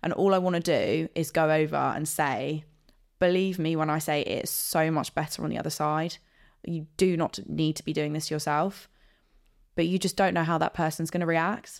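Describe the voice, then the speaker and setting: A woman with a southern English accent speaks at a moderate pace in a very deep, low pitch, her intonation fairly even. The recording is very clean, with a silent background. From southern England (Guildford, Surrey). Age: 20s. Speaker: podcast guest. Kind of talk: casual interview chat.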